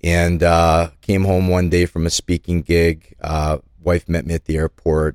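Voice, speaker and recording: A man with a very deep, low pitch speaks at a fairly slow pace in a monotone, flat intonation, with very even loudness and a dry, close sound with no echo. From Calgary, Alberta, Canada. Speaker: nonprofit co-founder. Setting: studio.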